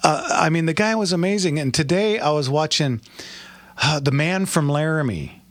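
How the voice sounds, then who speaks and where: Noticeable background noise accompanies a man with a fairly high voice. He speaks at a moderate pace with ordinary pitch variation. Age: 60s. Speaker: radio host. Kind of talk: call-in radio show. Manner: halting.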